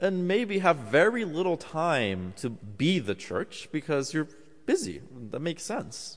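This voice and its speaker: At a fairly slow pace, a man with fairly high pitch speaks with very wide pitch swings. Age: 20s. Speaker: preacher. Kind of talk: sermon.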